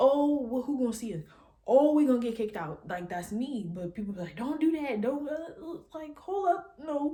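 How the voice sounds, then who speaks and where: A woman speaks at a high pitch with very wide pitch swings. Her loudness swings widely too. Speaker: YouTuber. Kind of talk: casual vlog monologue. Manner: fast.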